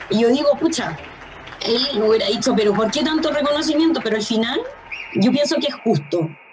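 A high-pitched woman's voice at a fairly quick pace, with very wide pitch swings, very even loudness, audible room echo and noticeable background noise. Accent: Chilean. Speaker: daughter of a deceased doctor. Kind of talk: testimony. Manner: halting.

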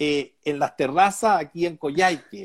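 A man with a high pitch and lively intonation talks at a fairly slow pace, recorded dry and close with no echo. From Chile, Chillán countryside. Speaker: businessman and political candidate. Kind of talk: interview. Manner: halting, repeats words.

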